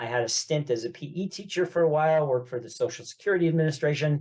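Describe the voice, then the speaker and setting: A man with a New York accent speaks at a fairly quick pace, his voice somewhat breathy, with ordinary pitch variation. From New York, Long Island (Great Neck). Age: 70s. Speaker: real estate investor and business coach. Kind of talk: podcast interview. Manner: talkative.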